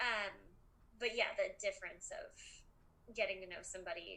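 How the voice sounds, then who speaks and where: Speaking in an American accent, a woman keeps a moderate pace. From Colorado. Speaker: comedian, podcast guest. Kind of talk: casual chat. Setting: video call. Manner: hesitant, many fillers.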